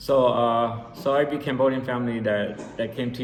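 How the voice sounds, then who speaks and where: Audible room echo around a man in an American accent, at a moderate speed. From San Jose, California. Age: 40s. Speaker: recovering addict sharing his story. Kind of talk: personal testimony. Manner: halting, many fillers and repeats.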